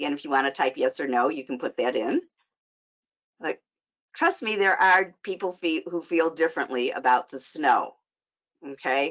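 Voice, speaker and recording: A woman with a Chicago accent speaks at a fairly low pitch with lively intonation. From US Midwest, Chicago. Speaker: life coach and social worker. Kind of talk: webinar presentation. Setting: online webinar.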